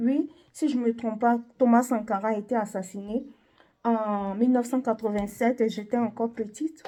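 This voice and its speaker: In a very clean recording with a silent background, a woman with a high pitch and a dark, mellow tone talks at a moderate pace. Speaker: video blogger. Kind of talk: opinion monologue. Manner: halting.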